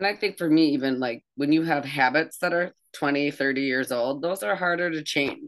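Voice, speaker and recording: A woman's very deep, low voice at a moderate pace, with ordinary pitch variation and hardly any pauses. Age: 50s. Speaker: podcast co-host. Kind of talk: casual interview chat.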